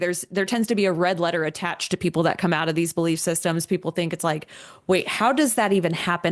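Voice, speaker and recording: Against a quiet background, a woman with an American accent talks at a very fast pace with fairly even intonation. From Virginia, US. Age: 30s. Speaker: author. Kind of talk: interview.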